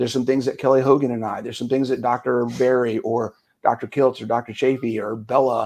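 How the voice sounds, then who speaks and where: An ordinary speaking voice from a man, medium in pitch, at a fairly quick pace. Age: 50s. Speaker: fitness coach. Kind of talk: casual interview chat.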